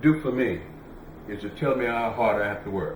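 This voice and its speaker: With an American accent, a man talks at a fairly slow pace with lively intonation, and audible room echo surrounds his voice. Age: 80s+. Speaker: campaign manager and restaurant owner. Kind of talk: interview. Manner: animated.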